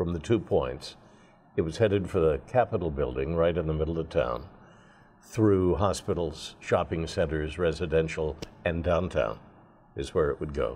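A man speaks with lively intonation and a dark, mellow tone. Vocal fry runs through his voice. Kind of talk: interview answer. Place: studio. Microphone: lapel.

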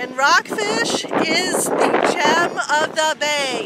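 Loud background noise surrounds a woman speaking, with a dry sound that has no echo. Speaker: local area guide. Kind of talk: casual vlog chat. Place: street. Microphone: phone near.

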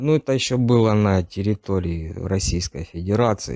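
Against a quiet background, the voice has a dark, mellow tone, a fairly slow pace, ordinary pitch variation and a dry sound with no echo. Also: man. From Donetsk region, eastern Ukraine; Ukraine. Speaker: captured conscript soldier; interviewee. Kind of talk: interview testimony. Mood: subdued, tense. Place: empty room.

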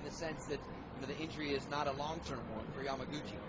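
A man rattles off his words very fast while noticeable background noise carries on. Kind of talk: live sports commentary. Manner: fast, fluent play-by-play.

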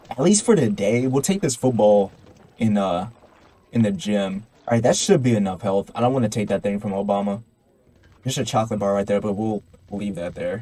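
A man talks at a fairly quick pace, broken by long, frequent pauses. His voice is fairly low and dark, mellow in tone, with ordinary pitch variation. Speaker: gaming YouTuber. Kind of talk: let's play commentary. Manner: rambling, casual.

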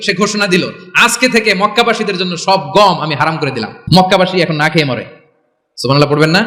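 A man's raised, projected voice, high-pitched and animated in tone. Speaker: Islamic preacher. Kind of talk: Islamic sermon delivered to a live audience. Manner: animated, rhetorical, calling for audience responses.

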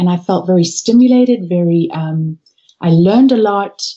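A woman with lively intonation and a somewhat breathy voice speaks at a fairly slow pace. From Zimbabwe and South Africa. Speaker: organisational consultant and coach. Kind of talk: interview. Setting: Skype call from home office.

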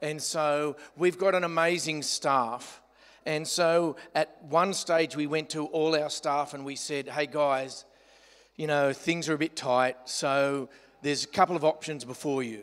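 A man with an Australian accent, at a fairly slow pace and fairly even intonation, against a quiet background. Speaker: pastor. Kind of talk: sermon. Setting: church. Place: hall.

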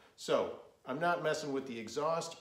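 This is a man speaking. Audible room echo surrounds his voice. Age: 50s. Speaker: motorcycle vlogger. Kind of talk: product review. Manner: hesitant with fillers. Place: garage. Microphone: phone near.

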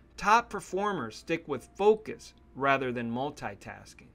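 The speaker talks at a fairly slow pace in a calm, bright, sharp tone with lively intonation. The recording is very clean, with a silent background. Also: man. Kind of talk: self-help audiobook narration, reading book quotes aloud. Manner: calm, measured, steady instructional delivery; earnest and motivational, formal read-aloud cadence.

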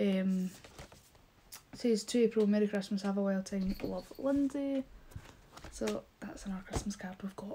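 A woman with a Scottish accent speaks at medium pitch and a moderate pace, with ordinary pitch variation. She takes long, frequent pauses over light background noise. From Scotland. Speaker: YouTuber. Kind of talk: casual vlog haul. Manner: animated. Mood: cheerful, warm. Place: home room. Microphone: phone near.

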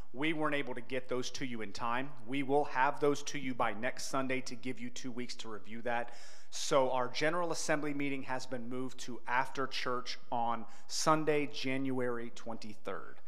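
A man at a moderate pace, fairly even in intonation. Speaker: pastor. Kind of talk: church announcements. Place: church. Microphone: handheld.

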